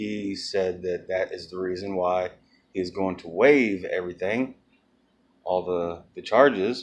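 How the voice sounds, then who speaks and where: A man's very deep, low voice, fairly slow in pace, with ordinary pitch variation. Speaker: video blogger. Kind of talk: casual vlog update. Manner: halting.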